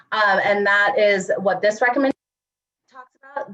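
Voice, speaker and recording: Here a woman speaks at medium pitch. Her pitch variation is ordinary. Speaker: presenter on environmental justice policy. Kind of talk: meeting presentation. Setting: video call. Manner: halting, many fillers.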